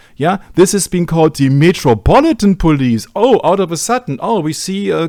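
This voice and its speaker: A man with a German accent speaks at a moderate pace in a high voice with very wide pitch swings, on a very clean recording with a silent background. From Germany. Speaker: researcher presenting on media and religion. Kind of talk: discussion presentation.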